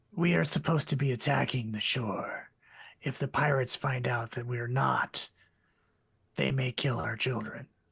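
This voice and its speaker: A raspy, put-on character voice at a moderate pace. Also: man, medium pitch for a man. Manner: regal.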